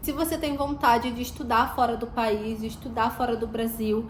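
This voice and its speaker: A high-pitched woman at a fairly slow pace, with audible room echo. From Brazil. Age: 20s. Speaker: vlogger. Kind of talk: vlog.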